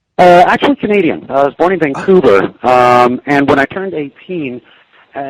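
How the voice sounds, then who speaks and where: A man's fairly high voice with lively intonation at a moderate pace, in a dry, close sound with no echo. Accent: Pacific Northwest. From US Pacific Northwest (Corvallis, Oregon; Tacoma, Washington). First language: Cantonese. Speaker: journalist. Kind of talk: interview.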